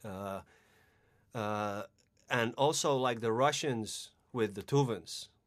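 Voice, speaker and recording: In a Finnish accent, a man speaks at a medium pitch with ordinary pitch variation, very slowly and with long, frequent pauses, on a very clean recording with a silent background. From Finland. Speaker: ritual musician and throat singer. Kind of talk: casual interview. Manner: halting, many repetitions.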